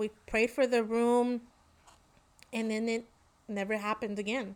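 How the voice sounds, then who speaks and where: A woman with a Spanish accent speaks at a fairly high pitch on a very clean recording with a silent background. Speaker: podcast co-host. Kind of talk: casual chat.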